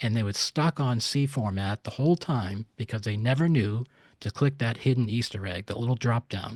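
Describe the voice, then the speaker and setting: A somewhat breathy man's voice at medium pitch, dry and close with no echo, in a very clean recording with a silent background. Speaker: CAD software consultant and user group organizer. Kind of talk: technical presentation. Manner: fast.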